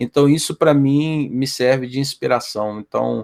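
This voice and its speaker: At a fairly slow pace, a man uses a normal speaking voice with medium pitch and ordinary pitch variation. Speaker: quality team manager, podcast founder. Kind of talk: podcast interview answer.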